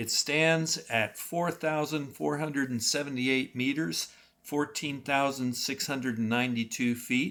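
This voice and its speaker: Speaking at a fairly slow pace, a man with a normal speaking voice keeps a medium pitch with ordinary variation. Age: 60s. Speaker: outdoor travel vlogger. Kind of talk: live video on the trail; narrated travel vlog. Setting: outdoors on a mountain. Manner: casual with fillers.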